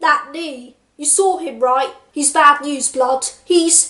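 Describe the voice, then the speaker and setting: A woman in a put-on character voice delivers her words at a high pitch and a very slow pace. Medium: solo performance.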